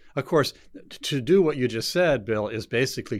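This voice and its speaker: A man's ordinary speaking voice at a moderate pace, with lively intonation. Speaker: show host. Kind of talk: panel discussion. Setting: studio.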